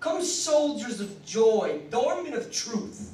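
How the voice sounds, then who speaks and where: A man's voice sits extremely high in pitch, heard through noticeable background noise. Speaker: slam poet. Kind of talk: poetry reading. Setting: live venue.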